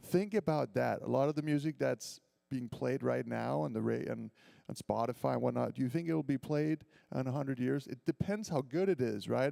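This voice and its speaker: An animated tone with a slight Danish accent comes through in a dry, close sound with no echo. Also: man. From Denmark, Copenhagen. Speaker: violinist and composer. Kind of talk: school assembly talk between performances.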